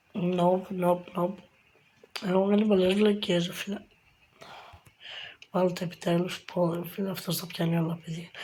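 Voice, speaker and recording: Against noticeable background noise, a woman with a fairly low pitch speaks at a moderate pace in a flat monotone, with long, frequent pauses. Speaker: gaming youtuber. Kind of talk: gameplay commentary.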